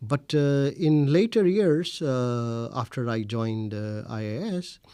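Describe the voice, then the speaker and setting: Speaking very slowly in a Pakistani accent, a man has a medium pitch and a dark, mellow tone. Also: lively intonation. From India, Delhi. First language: Urdu. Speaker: researcher. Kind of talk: interview. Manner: hesitant, many fillers.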